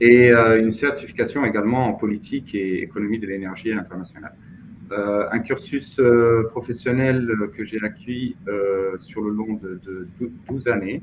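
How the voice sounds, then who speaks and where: Fairly even intonation marks a man's speech at a fairly slow pace. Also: medium pitch for a man. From Mauritania. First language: Hassaniya Arabic (speaking French). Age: 30s. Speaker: finance professional. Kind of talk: interview. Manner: hesitant, many fillers.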